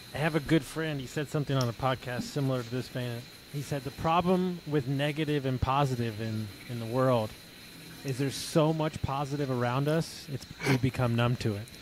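In a normal speaking voice with an American accent, a man talks at a fairly quick pace and medium pitch with ordinary pitch variation. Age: 40s. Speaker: podcast host and mindset coach. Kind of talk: casual interview.

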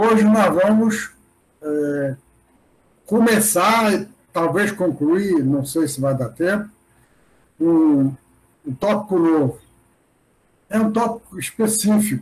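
The man's pace is very slow. He leaves long, frequent pauses. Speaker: university professor. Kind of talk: lecture. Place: home room. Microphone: webcam.

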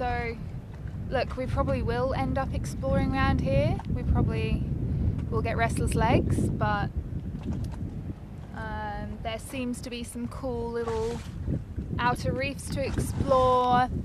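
A woman at a fairly high pitch and slow pace, with little pitch movement, long, frequent pauses and clear background noise

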